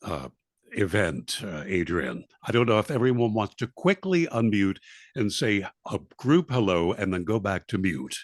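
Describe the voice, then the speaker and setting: Vocal fry and very wide pitch swings mark this voice with an American accent at a moderate pace. The sound is dry and close with no echo, over a quiet background. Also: man, fairly low pitch for a man. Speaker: event host. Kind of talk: event introduction.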